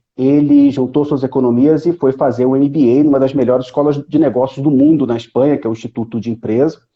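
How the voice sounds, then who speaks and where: Speaking at a very fast clip with hardly a pause, a man keeps a fairly even intonation at a medium pitch. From Brazil, Rio de Janeiro. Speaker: economist, professor. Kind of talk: live stream conversation.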